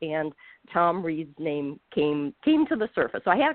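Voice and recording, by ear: A woman at a moderate pace, with a dry, close sound and no echo.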